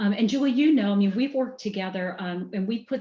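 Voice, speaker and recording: This woman has a medium pitch and a dark, mellow, somewhat breathy tone, with ordinary pitch variation and a slight Southern US accent. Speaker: business executive. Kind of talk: podcast interview.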